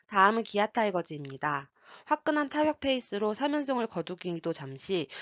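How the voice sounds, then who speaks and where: Her pitch swings very widely while the woman keeps a fairly quick pace. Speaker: sports betting analyst. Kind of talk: scripted sports analysis narration.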